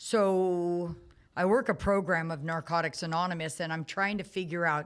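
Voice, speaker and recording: A woman speaks in a fairly low pitch on a very clean recording with a silent background. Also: moderate pace. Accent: American. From US Midwest, Omaha, Nebraska. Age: 60s. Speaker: recovering addict. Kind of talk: testimony. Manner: animated.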